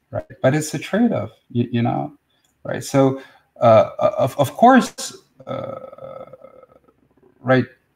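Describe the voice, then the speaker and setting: Here a man talks at a very slow pace. He leaves long, frequent pauses. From Russia. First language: Russian. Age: 40s. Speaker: spiritual teacher. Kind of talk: live stream talk and Q&A. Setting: live video stream. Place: home room. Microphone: webcam.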